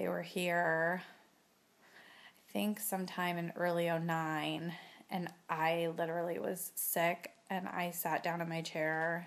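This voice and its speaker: At a very slow pace, a woman speaks in a fairly low, monotone, flat voice. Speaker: chronic pain patient vlogger. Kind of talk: casual talk to camera.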